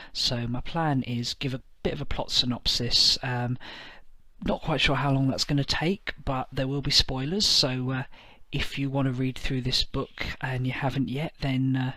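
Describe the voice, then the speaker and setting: A man speaks quietly at a moderate pace, his bright, sharp voice set at a medium pitch with fairly even intonation. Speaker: tabletop wargaming youtuber. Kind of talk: casual review monologue. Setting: at home at night. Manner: quiet, keeping voice down; hesitant, many fillers. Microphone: may sound quiet.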